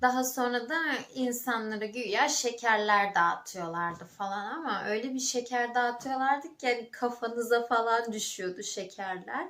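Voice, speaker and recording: A woman with a high voice speaks at a fairly slow pace with ordinary pitch variation and hardly any pauses. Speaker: vlogger. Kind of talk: casual vlog talk. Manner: halting, many fillers.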